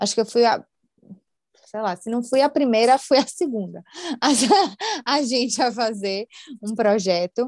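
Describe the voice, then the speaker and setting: A woman speaks at a fairly slow pace with long, frequent pauses, her fairly high pitch moving with ordinary variation in a dry, close sound with no echo. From Brazil, Salvador. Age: 20s. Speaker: customer experience analyst. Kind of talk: casual interview chat.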